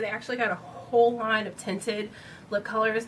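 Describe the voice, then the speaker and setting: Noticeable background noise sits behind a woman's voice. She talks at a fairly quick pace with a fairly high pitch. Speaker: beauty vlogger. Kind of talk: product review vlog. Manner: casual, many fillers.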